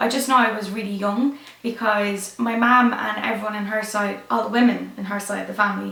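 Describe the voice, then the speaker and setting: A woman with an Irish accent speaks in a flat monotone, her voice carrying audible room echo over noticeable background noise. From Ireland. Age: 20s. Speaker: YouTuber, fashion designer. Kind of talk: casual chat.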